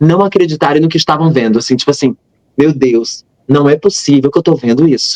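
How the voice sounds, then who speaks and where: Recorded with a dry, close sound and no echo, a man talks with ordinary pitch variation. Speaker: missionary and religious youtuber. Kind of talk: interview testimony. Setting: live stream. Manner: fast.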